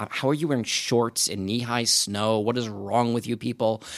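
In a dry, close sound with no echo, a man uses an ordinary speaking voice with an American accent, medium pitch and fairly even intonation. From Long Island, New York. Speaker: podcaster and writer. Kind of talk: interview.

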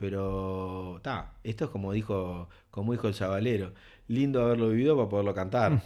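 Someone with a Uruguayan accent speaks at a fairly quick pace in a very clean recording with a silent background. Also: man. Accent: Rioplatense Spanish (Uruguayan). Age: 40s. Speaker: real estate developer. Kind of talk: interview. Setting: improvised studio in an office.

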